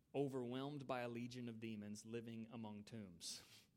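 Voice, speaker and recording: A man with an American accent at a fairly slow pace and medium pitch, with audible room echo. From United States. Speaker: pastor. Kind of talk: sermon. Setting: church. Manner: halting.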